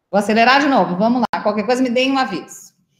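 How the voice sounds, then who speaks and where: A high-pitched woman's voice with fairly even intonation and audible room echo. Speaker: state culture official chairing council meeting. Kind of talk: online council meeting.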